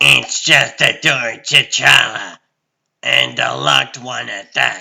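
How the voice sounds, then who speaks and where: A man talks in a raspy, put-on character voice at a very slow pace. His loudness swings widely from moment to moment. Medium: fan dub. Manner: dry, sardonic.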